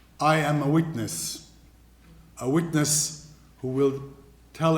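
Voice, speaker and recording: This man has a fairly high pitch. There is audible echo from the room. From Iraq (Baghdad). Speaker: refugee speaker, businessman. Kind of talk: testimony talk.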